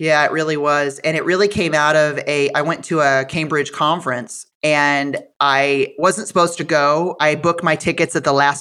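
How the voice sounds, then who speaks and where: Over a silent background in a very clean recording, a woman with an American accent speaks at a moderate pace in a very deep, low pitch, her bright, sharp tone held in a monotone, flat intonation. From Iowa, US Midwest. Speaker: financial advisor. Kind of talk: interview.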